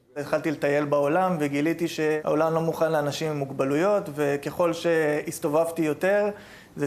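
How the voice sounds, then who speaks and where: Noticeable background noise sits behind a man whose fairly high voice stays monotone, with flat intonation. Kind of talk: TV interview.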